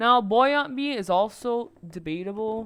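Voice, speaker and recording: Over music in the background, a speaker with a non-native accent talks with lively intonation. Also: woman. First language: not English. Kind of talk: casual game guide talk. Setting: low-quality home microphone. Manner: hesitant, stuttering.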